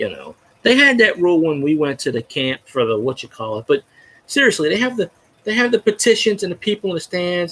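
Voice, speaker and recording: A man speaks at a very fast pace. His voice is high-pitched. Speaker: sports fan vlogger. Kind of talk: casual monologue. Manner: loud; rambling, halting with false starts.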